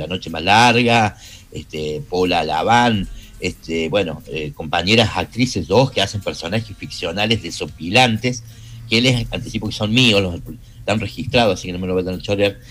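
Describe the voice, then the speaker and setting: Music plays in the background while a man with a fairly low pitch speaks at a moderate pace. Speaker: radio producer and host. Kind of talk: radio interview.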